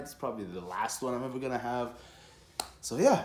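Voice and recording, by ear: Fast speech from a man, lively intonation, a slightly mellow tone and audible room echo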